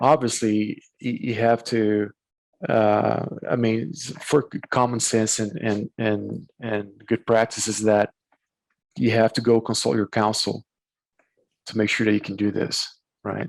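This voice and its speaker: Pausing long and often, a man with a Portuguese accent speaks at a fairly slow pace in a dry, close sound with no echo. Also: medium pitch for a man, fairly even intonation. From Brazil. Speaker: corporate attorney. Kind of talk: casual interview. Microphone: bandwidth issues.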